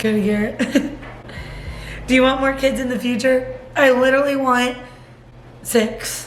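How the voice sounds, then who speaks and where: The speech moves at a moderate pace, in a flat, monotone delivery broken by long, frequent pauses. Noticeable background noise and audible room echo sit behind it. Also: woman, high pitch for a woman. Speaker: vlogger. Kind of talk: casual Q&A vlog. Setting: at home on the couch.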